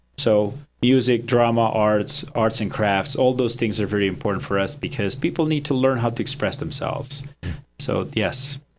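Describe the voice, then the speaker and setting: A man at a moderate pace and medium pitch, with ordinary pitch variation and music in the background. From Romania, Transylvania. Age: 40s. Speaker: nonprofit director. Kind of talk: interview. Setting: studio.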